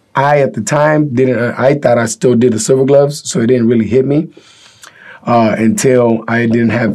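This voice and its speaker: A man's pace is fairly quick and his pitch variation ordinary. Behind him there is noticeable background noise. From Mexico, raised in Northern California. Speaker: boxing trainer. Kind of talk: podcast interview. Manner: casual, halting with fillers.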